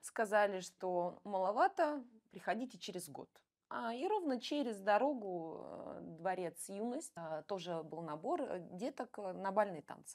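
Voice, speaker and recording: A woman speaks at a very slow pace with lively intonation, big swings in loudness, and long, frequent pauses. The background is quiet. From Russia, Bryansk; Russia. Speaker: ballroom dancer and coach; interview guest. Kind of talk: interview. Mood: relaxed, animated at times. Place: studio. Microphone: lapel.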